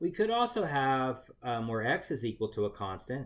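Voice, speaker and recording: With a normal speaking voice and lively intonation, a man talks at a moderate pace in a very clean recording with a silent background. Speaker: math teacher. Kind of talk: lecture.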